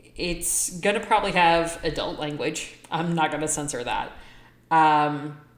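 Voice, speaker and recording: A woman's very deep, low voice at a fairly slow pace, with audible room echo. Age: 40s. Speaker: vlogger and apparel shop owner. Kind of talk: casual vlog monologue. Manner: loud.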